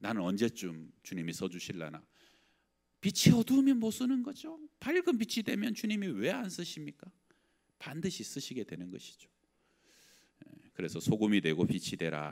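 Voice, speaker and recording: At a moderate pace, a man speaks with big swings in loudness and long, frequent pauses. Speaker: pastor. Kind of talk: sermon. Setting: church. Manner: conversational.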